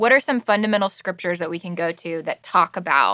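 A woman's bright, sharp tone with ordinary pitch variation and a dry, close sound with no echo. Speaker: podcast host. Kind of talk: casual podcast conversation.

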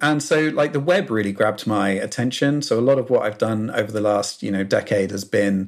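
On a very clean recording with a silent background, a man in a southern British accent speaks at a fairly quick pace with ordinary pitch variation. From southern England, South Coast. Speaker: software consultant and open source maintainer. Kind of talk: casual interview chat.

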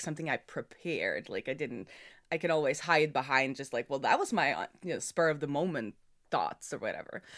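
A woman's fairly low, bright and sharp voice with a Norwegian accent, lively intonation and a fairly quick pace, in a dry, close sound with no echo. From Norway. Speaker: software developer. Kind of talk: casual interview chat. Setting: remote call.

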